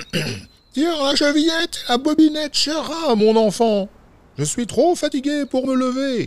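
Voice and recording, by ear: A put-on character voice, pitched high, delivers its lines at a fairly slow pace.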